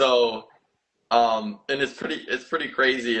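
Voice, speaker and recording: With a normal speaking voice, a man talks at a moderate pace and medium pitch with fairly even intonation. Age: 20s. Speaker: podcast host. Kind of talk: podcast interview.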